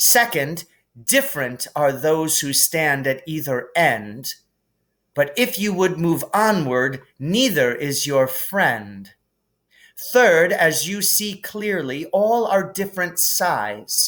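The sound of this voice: A man does a put-on character voice, fairly high-pitched with a fairly bright tone. He speaks slowly, with big pitch swings.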